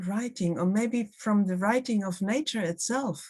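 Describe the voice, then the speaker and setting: A woman with a German accent speaks at a medium pitch, somewhat breathy, with ordinary variation in her pitch. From Germany, Hamburg. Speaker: art writer and critic. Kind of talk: public conversation. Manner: halting.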